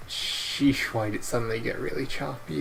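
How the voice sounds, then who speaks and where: With ordinary pitch variation and a fairly quick pace, a man speaks while noticeable background noise plays underneath. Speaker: video game streamer. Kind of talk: casual gameplay commentary. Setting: live stream. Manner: soft-spoken; halting.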